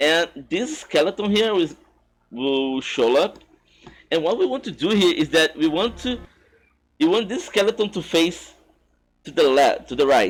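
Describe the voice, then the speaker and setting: Pitched high for a man, this voice moves at a moderate pace with very wide pitch swings and long, frequent pauses. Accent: non-native. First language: not English. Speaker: speedrunner. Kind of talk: tutorial. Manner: halting, with false starts.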